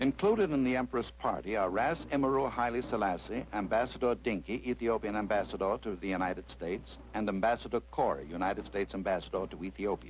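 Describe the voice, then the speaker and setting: Speaking very fast with hardly any pauses, a man uses a fairly low pitch that swings very widely. Vocal fry runs through his voice. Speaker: newsreel narrator. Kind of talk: newsreel narration.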